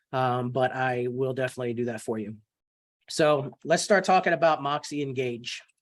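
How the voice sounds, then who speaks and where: Ordinary pitch variation runs through a man's voice, which sits at a medium pitch. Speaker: real estate software trainer. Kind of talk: online training webinar. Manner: fast.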